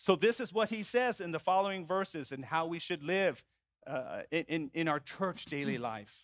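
The recording has a quiet background and a dry sound with no echo as a man talks at a moderate pace. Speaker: preacher. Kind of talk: sermon. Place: church.

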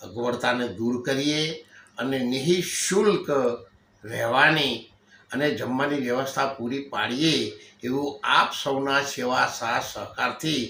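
A man with a fairly high pitch speaks with ordinary pitch variation over noticeable background noise. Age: old. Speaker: religious leader. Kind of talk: public appeal speech. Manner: halting.

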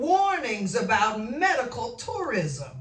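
At a very slow pace, a woman speaks at a high pitch, with room echo audible. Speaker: minister. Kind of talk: sermon. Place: home room.

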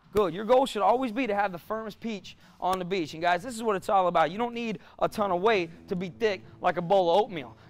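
Faint music sits behind a man talking at a fairly quick pace. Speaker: fitness coach. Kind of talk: workout class coaching. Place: gym.

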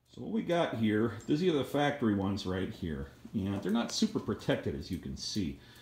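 A somewhat breathy male voice at a moderate pace, with very wide pitch swings and audible room echo. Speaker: hobbyist doing tractor repair. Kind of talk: tutorial. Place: garage. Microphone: phone near.

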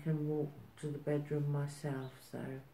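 The speech comes at a fairly slow pace, with light background noise and audible room echo. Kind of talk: interview answer. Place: home room. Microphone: phone near.

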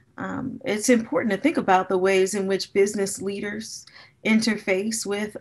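Against a quiet background, a woman with an American accent uses an ordinary speaking voice at a medium pitch with ordinary pitch variation. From US Midwest, Gary, Indiana; Indiana. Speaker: business school professor. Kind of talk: keynote lecture. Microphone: webcam.

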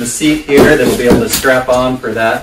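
A man talks over loud background noise. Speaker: product reviewer. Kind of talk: casual unboxing review. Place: home room. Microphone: camera far.

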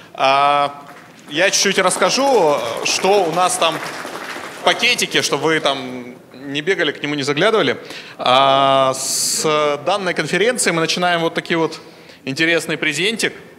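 Crowd noise runs behind a man with a fairly high voice and ordinary pitch variation. His pace is fairly slow, with long, frequent pauses. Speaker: conference host / moderator; conference host, moderator. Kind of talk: conference moderating, announcements and Q&A. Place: hall. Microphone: handheld.

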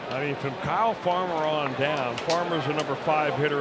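Speaking at a fairly quick pace and a fairly high pitch, a man is heard over noticeable background noise. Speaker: baseball broadcaster. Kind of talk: baseball color commentary. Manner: analytical, measured, conversational explanations.

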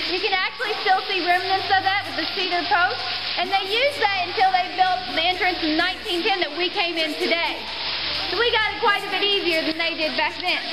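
A woman talks at a fairly quick pace. Loud background noise is present. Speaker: cave tour guide. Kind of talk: tour guide narration. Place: tunnel cave. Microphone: camera far.

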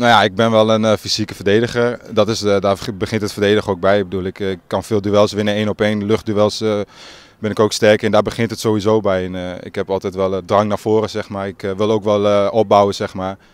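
A man's fairly low voice moves in a monotone, flat intonation. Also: dry sound with no echo. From Groningen province, Netherlands (Marum); Groningen, Netherlands. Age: young. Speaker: football player, team captain. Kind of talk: interview. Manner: halting. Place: open country. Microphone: handheld.

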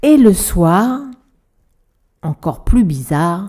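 A woman talks at a very slow pace. Her tone is warm and gentle, also dark and mellow. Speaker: storyteller. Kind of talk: bedtime story reading aloud to a child. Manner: warm, gentle storyteller, animated with sound effects; playful, expressive, voices characters.

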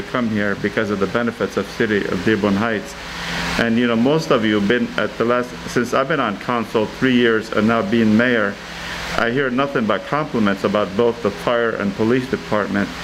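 Through noticeable background noise, a man with an American accent talks at a moderate pace, with ordinary pitch variation and very even loudness. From US Midwest. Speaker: mayor. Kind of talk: city council meeting; meeting remarks. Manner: halting. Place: meeting room. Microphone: podium.

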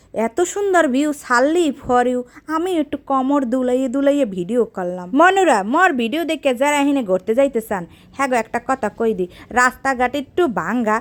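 A woman speaks in an animated tone with high pitch. Her voice moves in very wide pitch swings. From Bangladesh, Patuakhali. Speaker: travel vlogger. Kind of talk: casual vlog narration. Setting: outdoors.

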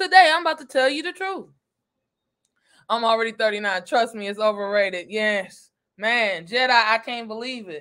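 A woman with a fairly high pitch and a fairly bright tone talks at a moderate pace with lively intonation.

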